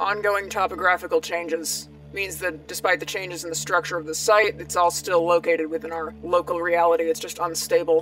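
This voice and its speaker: A woman uses a raspy put-on character voice with a fairly low pitch and monotone, flat intonation, calm in tone. She talks at a fairly quick pace with hardly any pauses, and clear music plays in the background. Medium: audio drama. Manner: calm, precise, analytical.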